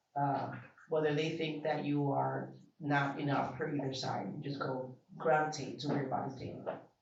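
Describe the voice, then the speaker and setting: A man's fairly high voice with an American accent, fairly even intonation, a moderate pace and audible room echo. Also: long, frequent pauses. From Bronx, New York. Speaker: event attendee interviewee. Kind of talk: casual interview. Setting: art exhibition event.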